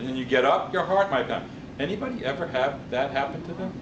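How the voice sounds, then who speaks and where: Amid noticeable background noise and audible room echo, a man with an American accent speaks at a moderate pace with lively intonation. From New York. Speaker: public speaking club member. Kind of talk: speech.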